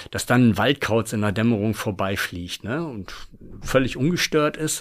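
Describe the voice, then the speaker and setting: A man speaks at a moderate pace in a normal speaking voice with lively intonation, on a very clean recording with a silent background. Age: 50s. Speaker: former forester, long-distance hiker and author. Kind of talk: casual interview.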